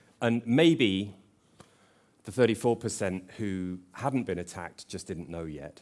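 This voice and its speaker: A man speaks with an English accent on a very clean recording with a silent background. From England. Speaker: conference speaker, tech company representative. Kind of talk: conference presentation.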